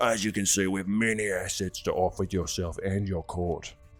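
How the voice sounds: This man puts on a character voice, pitched fairly low. He goes at a moderate pace.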